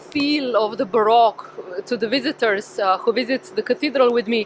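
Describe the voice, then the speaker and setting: A woman with a Slovenian accent at a moderate pace, her fairly high pitch showing ordinary variation, over noticeable background noise. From Slovenia, Ljubljana. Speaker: tour guide. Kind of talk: live guided walk. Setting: outdoors, walking in city at dusk. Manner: casual, hesitant with fillers.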